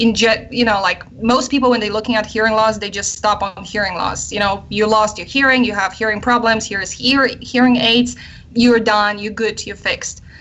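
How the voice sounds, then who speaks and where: In a Polish accent, a woman talks at a fairly high pitch with monotone, flat intonation. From Poland. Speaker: army psychologist and researcher. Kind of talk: radio interview. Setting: live online radio show.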